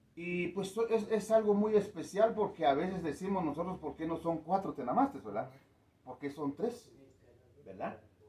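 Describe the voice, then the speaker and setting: Against noticeable background noise, a man with a high pitch speaks at a moderate pace and with lively intonation. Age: 60s. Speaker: community elder. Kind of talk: interview. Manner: hesitant, many fillers.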